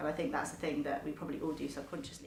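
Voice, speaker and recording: A woman talks with a very deep, low pitch. Room echo is audible, and there is noticeable background noise. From South East England (Tunbridge Wells, Kent). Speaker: university geology lecturer. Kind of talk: interview.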